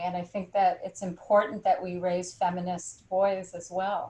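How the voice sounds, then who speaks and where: A woman talks at a moderate pace in a medium pitch. Her delivery is monotone and flat, and somewhat breathy. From California. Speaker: poet and professor. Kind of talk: panel discussion.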